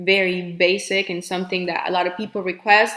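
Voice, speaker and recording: The speaker is a woman. Her words come with a Spanish accent. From Colombia. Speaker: nail technician. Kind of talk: live Q&A. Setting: livestream. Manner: hesitant, filler-heavy.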